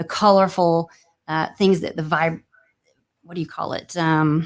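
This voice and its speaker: Speaking in a Louisiana accent, a woman talks at a fairly slow pace with monotone, flat intonation. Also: very clean recording, silent background. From Louisiana, New Orleans family. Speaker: real estate agent and broker, former attorney. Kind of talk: interview.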